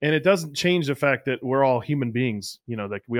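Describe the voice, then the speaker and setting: On a very clean recording with a silent background and a dry, close sound with no echo, a man talks at a fairly quick pace in an unremarkable speaking voice with ordinary pitch variation. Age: 30s. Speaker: podcast host, catching coach. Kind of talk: casual interview.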